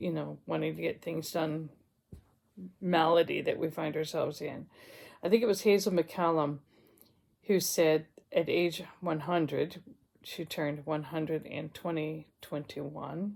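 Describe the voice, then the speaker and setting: Speaking at a fairly slow pace with vocal fry, the voice keeps a fairly even intonation and leaves long, frequent pauses. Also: woman, very deep, low pitch for a woman, very clean recording, silent background. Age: 60s. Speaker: retired counsellor vlogger. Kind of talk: casual vlog monologue.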